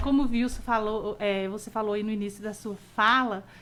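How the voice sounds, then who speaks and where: Here a woman has an unremarkable speaking voice with a fairly high pitch. She talks at a moderate pace with fairly even intonation. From Bahia, Brazil (Caetité). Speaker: early childhood educator. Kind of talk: radio interview. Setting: radio program.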